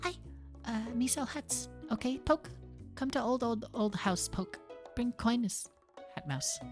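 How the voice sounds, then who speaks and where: Over clear background music, a female-sounding put-on character voice, pitched fairly high, moves at a fairly slow pace with long, frequent pauses. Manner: silly, put-on.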